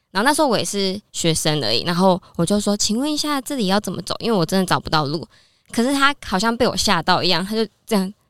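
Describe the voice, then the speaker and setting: A woman of medium pitch talks very fast, her voice swinging very widely in pitch. The sound is dry and close with no echo, in a very clean recording with a silent background. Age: 30s. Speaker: Korean-Chinese translator. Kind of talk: casual interview chat.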